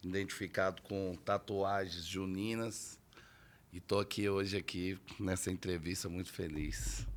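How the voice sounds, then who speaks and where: A man's very deep, low voice at a fairly slow pace, flat and monotone, in a very clean recording with a silent background. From Brazil, Federal District (Paranoá). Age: 30s. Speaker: quadrilha leader. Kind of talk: interview.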